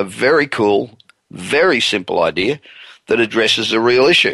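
A man's bright, sharp tone with lively intonation and vocal fry. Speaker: radio show host, business consultant. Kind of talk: radio talk show.

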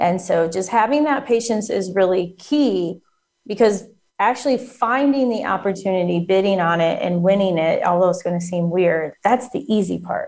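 Lively intonation marks an unremarkable speaking voice. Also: woman, medium pitch for a woman, moderate pace. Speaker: federal contracting coach. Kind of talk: interview explaining business advice.

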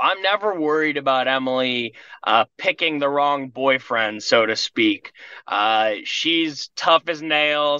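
A man speaks at a very slow pace in a fairly high voice with a bright, sharp tone and ordinary pitch variation. The sound is dry and close with no echo, over a quiet background. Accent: American. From small-town US farm. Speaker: painting business owner. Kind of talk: interview testimony. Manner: hesitant, many fillers.

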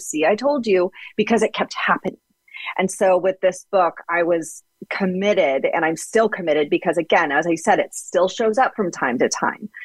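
A woman speaks in an unremarkable speaking voice at medium pitch and a moderate pace, her intonation lively and the sound dry and close with no echo. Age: 40s. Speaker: author and ghostwriter. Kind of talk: interview.

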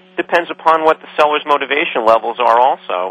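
A fairly quick, energetic delivery with ordinary pitch variation over noticeable background noise. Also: man. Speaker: business broker. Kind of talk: radio interview. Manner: energetic, projecting radio voice.

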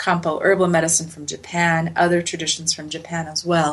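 At a moderate pace, a woman with an American accent speaks in an ordinary speaking voice at a fairly low pitch. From US, Utah (Salt Lake City). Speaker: acupuncturist and researcher. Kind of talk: interview.

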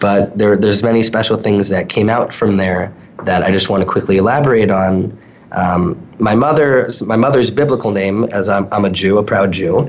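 Noticeable background noise accompanies a speaker with an American accent who keeps a moderate pace, very even loudness and ordinary pitch variation. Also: man, fairly low pitch for a man. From New York suburbs. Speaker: social media consultant. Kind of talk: interview.

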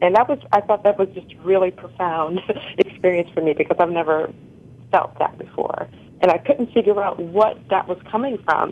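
A woman speaks in a normal speaking voice with an American accent. Her pitch is medium, her pace moderate, and her pitch variation ordinary. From Connecticut. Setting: phone call.

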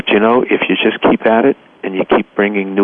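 A man with an American accent, fairly even intonation and noticeable background noise. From US Northeast, Boston. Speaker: environmental nonprofit president. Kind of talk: radio interview.

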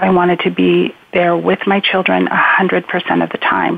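A woman with an American accent over noticeable background noise. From Spokane, Washington. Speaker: adoption professional. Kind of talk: interview. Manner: halting.

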